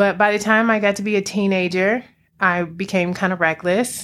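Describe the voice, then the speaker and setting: A woman with an American accent and an ordinary speaking voice, her intonation fairly even, on a very clean recording with a silent background. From Washington DC area (PG County, Alexandria, Virginia). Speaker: transformation coach and yoga teacher. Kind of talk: casual interview.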